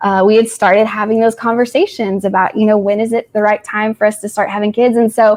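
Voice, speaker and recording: A woman with a slight Tennessee accent talks at a very fast pace with hardly any pauses. Her fairly high voice is monotone, with flat intonation. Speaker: social worker sharing personal story. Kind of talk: testimony. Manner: casual, hesitant with fillers.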